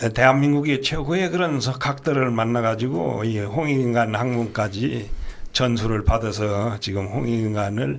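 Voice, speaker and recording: Audible room echo surrounds a man's medium-pitched voice. He speaks at a fairly slow pace with lively intonation. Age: 70s. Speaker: scholar of Korean studies. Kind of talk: interview.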